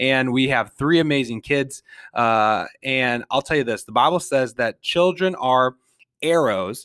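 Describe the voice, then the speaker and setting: Spoken fairly slowly with an Upper Midwest accent, the recording is very clean, with a silent background and a dry, close sound with no echo. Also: man, medium pitch for a man, ordinary pitch variation. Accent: Upper Midwest American. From Minnesota, St. Paul. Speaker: podcast host. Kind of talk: solo podcast monologue.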